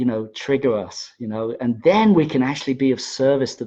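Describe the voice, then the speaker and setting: A man's medium-pitched voice at a moderate pace. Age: 60s. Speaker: spiritual teacher. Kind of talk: livestream talk. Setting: Facebook Live video stream. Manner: halting, many fillers and repeats.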